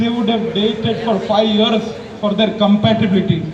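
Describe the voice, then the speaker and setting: Shouting loudly at a moderate pace, a man with a high pitch is heard through audible room echo and noticeable background noise. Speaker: medical student giving a speech. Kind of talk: public speech. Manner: loud, shouting; impassioned, rhetorical.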